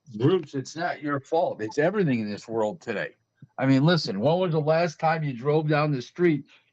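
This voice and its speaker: Speaking at a moderate pace, a man uses a fairly high voice. The sound is dry and close with no echo, over a quiet background. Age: 60s. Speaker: boxing talk show host. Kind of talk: casual chat. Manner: animated.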